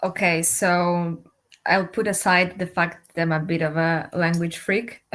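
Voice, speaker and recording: Speaking at a fairly slow pace with a non-native accent, a woman keeps a monotone, flat intonation and very even loudness. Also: fairly low pitch for a woman. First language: not English. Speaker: doctoral researcher. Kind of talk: panel interview.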